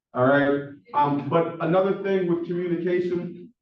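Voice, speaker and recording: A man with a Philadelphia accent speaks at a fairly slow pace with a high pitch. Room echo is audible. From Philadelphia, US. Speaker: professor. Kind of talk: lecture. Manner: monotone.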